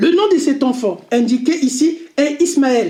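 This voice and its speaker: This speaker has an Arabic accent. The pace is very slow. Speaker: religious commentator. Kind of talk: lecture. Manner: halting.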